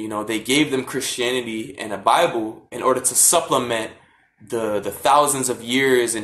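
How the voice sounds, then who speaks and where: A man talks in an ordinary speaking voice at a medium pitch. His pace is moderate and his pitch varies in an ordinary way. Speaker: vlogger on african spirituality. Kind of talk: casual talk from a live stream. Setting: social media live video.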